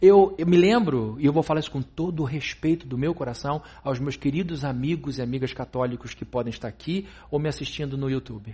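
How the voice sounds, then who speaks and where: A man talks at a fairly quick pace in a fairly high pitch. His voice is somewhat breathy. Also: ordinary pitch variation. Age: 40s. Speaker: pastor. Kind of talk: sermon.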